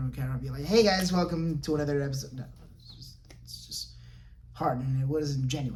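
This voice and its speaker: A man's voice carries audible room echo. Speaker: podcast host. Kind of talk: solo podcast monologue. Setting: home recording in front of camera. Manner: halting, repeats words; casual.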